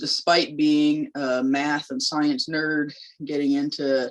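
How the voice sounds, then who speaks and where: Her pitch is very deep and low for a woman, with ordinary variation. She speaks with an American accent. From US South, North Carolina. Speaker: labor organizer. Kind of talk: public lecture. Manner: conversational, with fillers.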